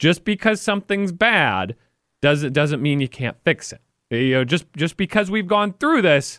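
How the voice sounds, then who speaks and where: Using very wide pitch swings, a man talks at a moderate pace in a dry, close sound with no echo. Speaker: sports radio host. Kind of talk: sports talk radio. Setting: radio studio.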